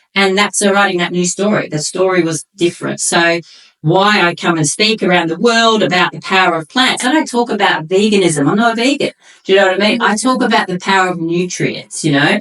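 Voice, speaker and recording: In an ordinary speaking voice, a woman talks at a fairly quick pace with a medium pitch and ordinary pitch variation. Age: 50s. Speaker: nutrition coach and former bodybuilder. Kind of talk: casual interview chat.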